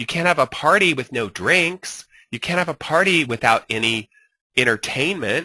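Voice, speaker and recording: A man with a fairly high, bright, sharp voice makes very wide pitch swings, recorded dry and close with no echo against a quiet background. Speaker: social media marketing instructor. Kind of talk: webinar lecture. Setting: online webinar with screen share. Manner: fast; animated.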